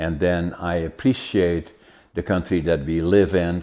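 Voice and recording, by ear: Moderate pace from a man with a low pitch and a slightly mellow tone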